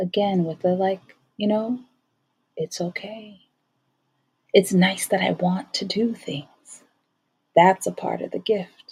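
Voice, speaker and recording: A woman speaks at a medium pitch, somewhat breathy, with fairly even intonation. Her pace is fairly slow, with long, frequent pauses. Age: 40s. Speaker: podcast host. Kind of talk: solo monologue. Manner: conversational.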